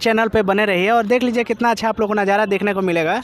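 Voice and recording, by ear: The man's high-pitched voice moves at a fast pace with fairly even intonation.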